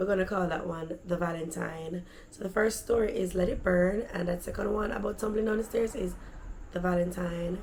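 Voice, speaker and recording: The voice has an animated tone. Audible room echo and noticeable background noise are present. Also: woman. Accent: Jamaican. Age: adult. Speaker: vlogger. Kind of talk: storytelling.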